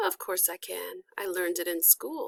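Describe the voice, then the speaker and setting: This is a put-on character voice, raspy and soft-spoken, at a moderate pace. The sound is dry and close with no echo. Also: woman. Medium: read story. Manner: soft, weary.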